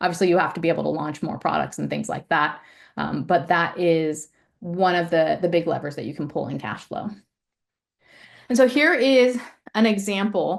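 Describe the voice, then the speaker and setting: A woman with vocal fry and a fairly low pitch speaks at a moderate pace with lively intonation. She leaves long, frequent pauses. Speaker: ecommerce finance presenter. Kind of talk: webinar presentation.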